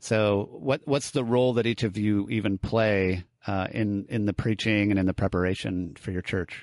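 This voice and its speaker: A man with a fairly low pitch and an unremarkable speaking voice talks at a moderate pace with hardly any pauses. His pitch variation is ordinary, and the sound is dry and close with no echo. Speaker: podcast host. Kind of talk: casual interview.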